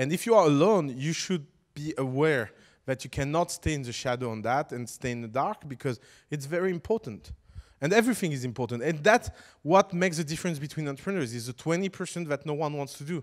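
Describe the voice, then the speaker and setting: This speaker has a non-native accent and talks at a very fast pace with lively intonation. The recording is very clean, with a silent background. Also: man, fairly high pitch for a man. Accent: foreign accent when speaking English. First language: French. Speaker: startup educator. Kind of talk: lecture. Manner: animated.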